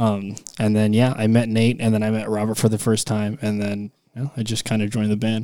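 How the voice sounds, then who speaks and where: In an American accent, a man with a dark, mellow tone speaks at a fairly quick pace in a monotone, flat intonation. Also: very clean recording, silent background. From Texas, El Paso. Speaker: rock band guitarist. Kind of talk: casual chat.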